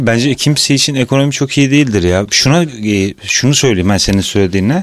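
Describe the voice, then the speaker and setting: The sound is dry and close with no echo as a man speaks in a medium pitch with ordinary pitch variation. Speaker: podcast co-host, sound engineer. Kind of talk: casual chat.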